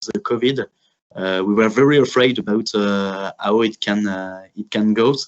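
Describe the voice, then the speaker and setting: With a French accent, a man talks at a fairly slow pace and a fairly even intonation. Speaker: grain cooperative representative. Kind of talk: webinar presentation. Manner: halting, many filler sounds.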